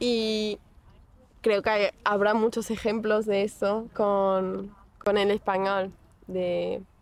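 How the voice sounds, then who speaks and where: A woman talks at a very slow pace and a medium pitch, with long, frequent pauses. Her intonation is monotone and flat. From Portugal, Porto. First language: Portuguese (speaking Spanish). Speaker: psychology student, language learner. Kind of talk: interview.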